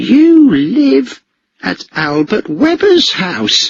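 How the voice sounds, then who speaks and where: A man puts on a character voice, pitched high with very wide pitch swings, and delivers it very slowly. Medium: read story. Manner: stammering under threat.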